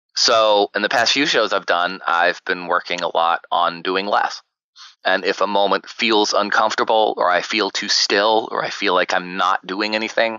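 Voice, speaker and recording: A man with an American accent, fairly low in pitch, an unremarkable speaking voice at a moderate pace, with fairly even intonation and very even loudness. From US South. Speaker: actor and podcaster. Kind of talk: interview. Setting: podcast interview.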